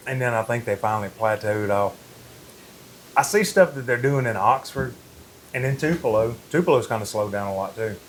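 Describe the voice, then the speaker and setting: Talking at a fairly quick pace in a Mississippi accent, a man leaves long, frequent pauses. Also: medium pitch for a man, ordinary pitch variation. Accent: Mississippi Southern US. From Mississippi Delta, Indianola. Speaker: furniture designer and upholsterer. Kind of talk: casual interview chat.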